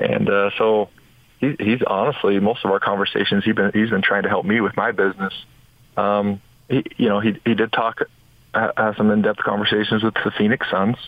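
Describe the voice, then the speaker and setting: An unremarkable speaking voice from a man, fairly quick, with fairly even intonation and very even loudness. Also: fairly low pitch for a man. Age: 40s. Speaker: former basketball player and business owner. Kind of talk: radio interview.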